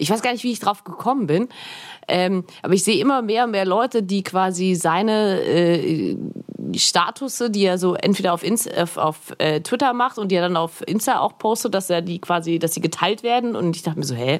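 A woman with a medium pitch talks at a moderate pace, her pitch variation ordinary. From Augsburg, Bavarian Swabia. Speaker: podcaster and filmmaker. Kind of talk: casual chat.

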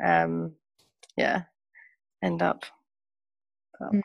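This is a woman speaking. She has a Birmingham accent. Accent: Birmingham English (Brummie). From England, Birmingham. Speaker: refugee aid volunteer. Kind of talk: interview.

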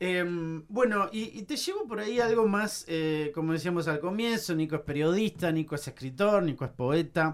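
Speaking at a moderate pace with hardly any pauses, a man talks in a high pitch. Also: ordinary pitch variation. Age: 40s. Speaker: podcast host. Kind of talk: interview.

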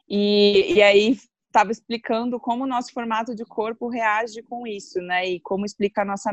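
With a plain, everyday voice, a woman speaks at a fairly high pitch with fairly even intonation and hardly any pauses, in a dry, close sound with no echo. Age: 30s. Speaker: guest on astrology podcast. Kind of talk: casual chat.

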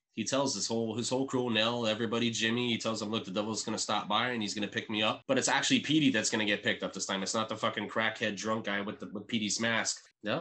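A man rattles along at a very fast pace in a bright, sharp tone, medium in pitch and monotone, with flat intonation. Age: 30s. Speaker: podcast co-host. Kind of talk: casual chat.

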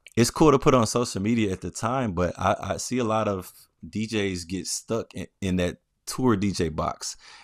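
With a plain, everyday voice and an American accent, a man of fairly low pitch speaks at a moderate pace with ordinary pitch variation, recorded dry and close with no echo on a very clean, silent background. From US South, Memphis, Tennessee. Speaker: DJ and house music producer. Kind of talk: casual chat.

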